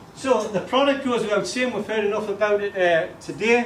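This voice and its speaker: A man rattles off words at a very fast pace while noticeable background noise and audible room echo fill the recording. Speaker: network marketing speaker. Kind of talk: motivational talk to a seminar audience. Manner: animated.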